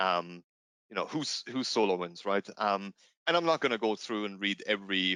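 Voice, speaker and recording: A man speaks fairly quickly in a bright, sharp tone with a fairly low pitch and ordinary pitch variation. The sound is dry and close, with no echo. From Germany. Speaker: product manager. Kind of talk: webinar presentation. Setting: online webinar. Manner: hesitant, many fillers.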